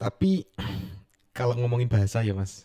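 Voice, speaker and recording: Heard dry and close with no echo, a man speaks in a dark, mellow tone with fairly even intonation. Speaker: podcast host. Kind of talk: casual interview. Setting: podcast studio.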